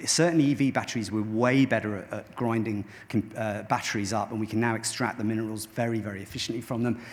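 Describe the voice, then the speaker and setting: Very fast delivery from a man with a medium pitch and ordinary pitch variation. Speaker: tech company founder and CEO. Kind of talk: conference keynote talk. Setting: stage with audience. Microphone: microphone quite far away.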